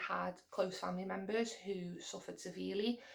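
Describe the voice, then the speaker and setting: A woman with a Liverpool accent speaks at a medium pitch with vocal fry. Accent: Liverpool (Scouse). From England, Liverpool. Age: 20s. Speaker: mental health vlogger. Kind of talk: casual chat. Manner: halting.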